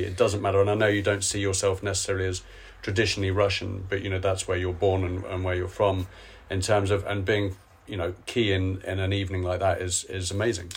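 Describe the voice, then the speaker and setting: Somewhat breathy and very fast, a man speaks in a very deep, low pitch with monotone, flat intonation. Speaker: podcast host. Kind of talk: interview. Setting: hotel room. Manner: relaxed.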